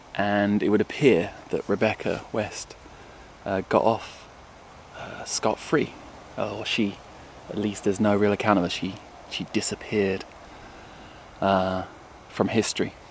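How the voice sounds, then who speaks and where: Speaking in a southern English accent, a man uses a fairly low pitch and monotone, flat intonation at a fairly slow pace. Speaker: musician. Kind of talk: video diary; scripted narration. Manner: quiet.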